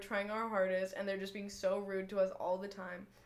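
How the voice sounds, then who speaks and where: Speaking fairly quickly in a monotone, flat intonation, a woman with an American accent and a medium pitch is heard over noticeable background noise. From Northern California, Marin County. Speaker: college student podcaster. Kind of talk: casual chat. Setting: bedroom, recorded on a laptop. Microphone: laptop mic.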